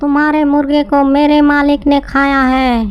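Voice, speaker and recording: A cartoonish character voice speaks at a high pitch and a fairly slow pace. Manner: repetitive, parroting.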